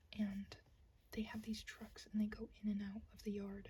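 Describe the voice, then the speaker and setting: A woman's soft-spoken, relaxed voice at a moderate pace. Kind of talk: soft-spoken ASMR ramble to camera. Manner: soft-spoken, relaxed, rambling.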